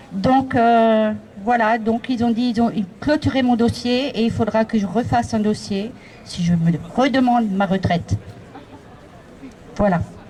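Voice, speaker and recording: Pausing long and often, a woman talks at a fairly slow pace with a fairly high pitch and very even loudness, with noticeable background noise around her. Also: ordinary pitch variation. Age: 60s. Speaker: protester, retiree. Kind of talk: open-mic testimony at a demonstration.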